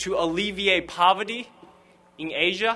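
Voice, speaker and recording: This man has a high pitch and a Chinese accent. He talks at a fairly slow pace with fairly even intonation. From Fuzhou, China. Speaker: graduating student. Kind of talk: commencement speech.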